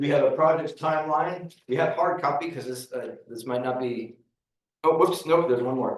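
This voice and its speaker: A man with a fairly high pitch speaks at a moderate pace, his loudness swinging widely, with audible room echo. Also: ordinary pitch variation. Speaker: county staff presenter. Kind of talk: public meeting presentation. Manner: halting with many fillers.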